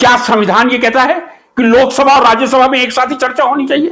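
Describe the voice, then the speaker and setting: This man's voice sits at an extremely high pitch. The tone is bright and sharp. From India. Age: 60s. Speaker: chemistry teacher and political commentator. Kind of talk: political monologue. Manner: animated.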